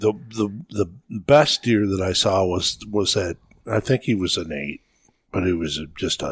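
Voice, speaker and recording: A man with a very deep, low pitch and a somewhat breathy voice speaks at a fairly slow pace. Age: 60s. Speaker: veteran deer hunter. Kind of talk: casual chat.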